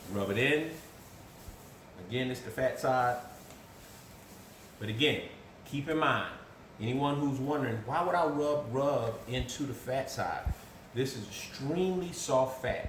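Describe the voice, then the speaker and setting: Amid noticeable background noise and audible room echo, a man talks at a fairly slow pace with long, frequent pauses and ordinary pitch variation. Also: medium pitch for a man. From US South. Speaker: cook. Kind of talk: tutorial. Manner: casual.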